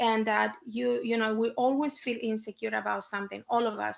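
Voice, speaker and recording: A woman with a Chilean accent speaks at a moderate pace in a fairly high pitch. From Chile (Santiago). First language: Spanish. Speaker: civic tech founder, panelist. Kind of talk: panel discussion talk to students. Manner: halting, many fillers and repetitions.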